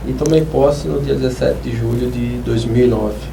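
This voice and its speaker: There is audible room echo and noticeable background noise as a man speaks at a medium pace. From Brazil, Maceió, Alagoas. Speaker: public prosecutor. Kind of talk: TV interview. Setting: TV studio.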